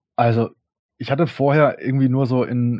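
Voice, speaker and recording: A man talks at a medium pitch in a flat, monotone delivery. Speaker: electropunk musician. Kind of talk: interview. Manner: casual, hesitant with many fillers.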